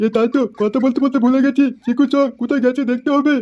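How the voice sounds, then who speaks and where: A high-pitched, cartoonish character voice. It moves along at a fairly quick pace. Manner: folksy, warm.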